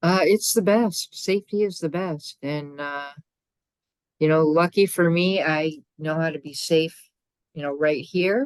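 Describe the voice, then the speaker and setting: A woman's fairly low pitch with ordinary pitch variation, a fairly slow pace, and long, frequent pauses. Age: 60s. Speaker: trauma survivor guest. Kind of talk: casual chat.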